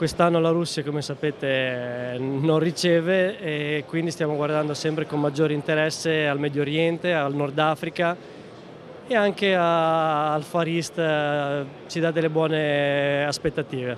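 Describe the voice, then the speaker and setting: A man at a fairly slow pace with fairly even intonation, dry sound with no echo and light background noise. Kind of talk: interview answer. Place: hall. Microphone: handheld.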